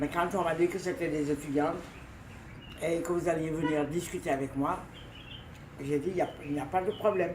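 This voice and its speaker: Over noticeable background noise, a woman with a fairly low pitch speaks at a moderate pace, her intonation fairly even and her pauses long and frequent. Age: 80s+. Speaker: retired journalist. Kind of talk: interview. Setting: at home.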